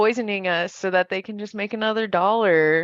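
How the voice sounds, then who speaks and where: A woman speaks at a medium pitch and a fairly quick pace, with ordinary pitch variation. The sound is dry and close with no echo, over a quiet background. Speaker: beauty professional, community member. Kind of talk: casual chat. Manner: loud.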